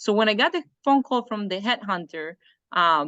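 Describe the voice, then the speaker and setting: A woman with a Spanish accent at a moderate pace, lively in intonation, the sound dry and close with no echo over a quiet background. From Colombia. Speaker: engineer and trainer. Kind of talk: interview.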